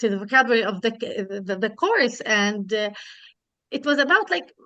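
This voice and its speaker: A woman talks in a fairly high voice with ordinary pitch variation. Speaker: teacher trainer in workshop. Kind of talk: workshop discussion. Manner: fast, hesitant.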